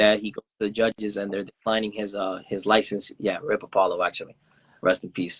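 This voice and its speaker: This man has a Spanish accent and a fairly low pitch. He speaks fairly quickly in a flat monotone. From Venezuela. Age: 20s. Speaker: indie hip-hop artist. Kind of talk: interview. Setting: Instagram Live video call. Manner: halting, many fillers.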